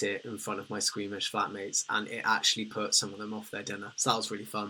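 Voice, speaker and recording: A man with a British accent talks at a fairly quick pace in a bright, sharp tone. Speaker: livestreamer. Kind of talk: casual livestream chat reading comments.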